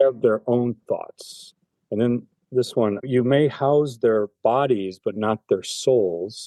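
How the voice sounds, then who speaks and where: In a dry, close sound with no echo, a man with a dark, mellow tone speaks very slowly at a medium pitch, with ordinary pitch variation and very even loudness. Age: 60s. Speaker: cancer patient. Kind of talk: interview.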